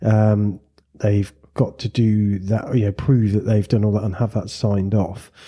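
Breathy in a modest way, this voice has a dark, mellow tone and monotone, flat intonation at a fairly slow pace. The recording is very clean, with a silent background. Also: man, fairly low pitch for a man. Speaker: podcast host and flight school owner. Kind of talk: casual interview chat.

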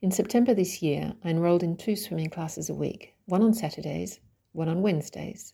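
Her fairly low voice carries a dark, mellow tone with vocal fry. The woman talks fairly quickly with ordinary pitch variation. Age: 50s. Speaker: writer and coach. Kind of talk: reading aloud.

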